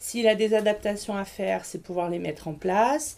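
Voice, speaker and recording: With an ordinary speaking voice, a woman talks at a moderate pace and with ordinary pitch variation. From Grenoble, France. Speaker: school nurse. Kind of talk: interview.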